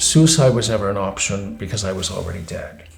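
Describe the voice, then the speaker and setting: Noticeable background noise is audible. Over it, a man talks with lively intonation. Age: 60s. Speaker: philosopher and teacher. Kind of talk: interview answer.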